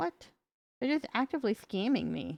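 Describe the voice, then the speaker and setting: A woman with an American accent is heard in a dry, close recording with no echo against a quiet background. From US South, North Carolina. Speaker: vtuber streamer. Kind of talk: casual live-stream chat. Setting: live stream.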